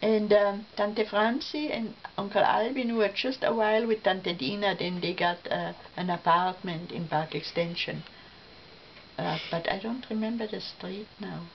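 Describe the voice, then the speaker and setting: A woman's medium-pitched voice at a fairly slow pace, ordinary pitch variation, and noticeable background noise. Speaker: family elder telling life stories. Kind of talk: casual family reminiscence. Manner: halting, with fillers and restarts.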